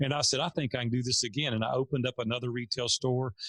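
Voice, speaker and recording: A man speaks at a medium pitch with a Tennessee accent. His pace is very fast. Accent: Southern US (Tennessee). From US South, Nashville, Tennessee. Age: 50s. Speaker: entrepreneur. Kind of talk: interview storytelling.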